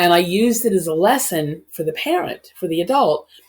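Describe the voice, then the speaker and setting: A woman with a plain, everyday voice speaks at a moderate pace and a fairly low pitch. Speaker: hugging advocate. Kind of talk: podcast interview.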